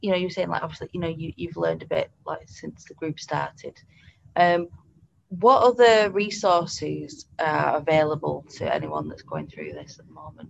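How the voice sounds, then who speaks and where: A woman with a British accent, at a fairly slow pace. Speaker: podcast host, pet bereavement counsellor. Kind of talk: podcast interview. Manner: hesitant, many fillers.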